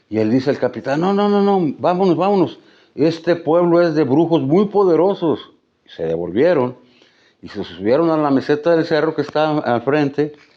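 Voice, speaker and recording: A man's fairly high voice has a dark, mellow tone and ordinary pitch variation. He speaks at a moderate pace over a quiet background. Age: 70s. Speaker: writer and musician, local storyteller. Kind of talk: interview, storytelling. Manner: repetitive, self-correcting.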